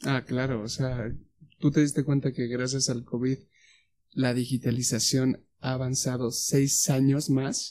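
Speaking at a fairly slow pace, a man with a medium pitch has a dark, mellow tone and fairly even intonation. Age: 20s. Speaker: podcast co-host. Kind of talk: casual chat.

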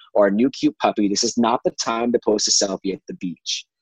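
In a dry, close recording with no echo, a man with an American accent speaks at a fairly quick pace with ordinary pitch variation. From US Pacific Northwest. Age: 20s. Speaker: podcast guest sharing personal essay. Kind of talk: personal monologue. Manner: halting, repeated words.

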